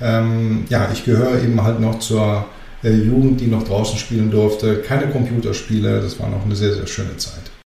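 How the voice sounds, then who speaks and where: At a moderate pace, a man speaks with medium pitch and monotone, flat intonation. Noticeable background noise and audible room echo fill the recording. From Germany, Greek family. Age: 40s. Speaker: construction company managing director. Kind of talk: interview.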